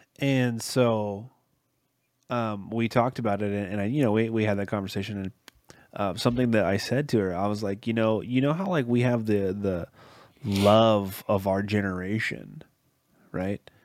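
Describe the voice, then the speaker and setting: This man has a plain, everyday voice pitched fairly low. He talks at a moderate pace with fairly even intonation. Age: 30s. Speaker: podcast host. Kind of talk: casual chat.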